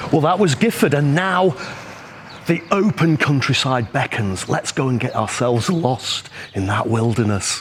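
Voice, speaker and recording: A man's fairly high voice at a moderate pace, with very wide pitch swings and noticeable background noise. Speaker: travel vlogger. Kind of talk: travel vlog narration. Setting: outdoors. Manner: animated.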